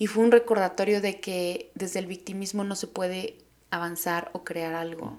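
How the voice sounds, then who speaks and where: Someone speaks in a flat monotone with a Mexican accent. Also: woman, medium pitch for a woman, moderate pace. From Mexico, Oaxaca. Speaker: podcast host. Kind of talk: casual monologue.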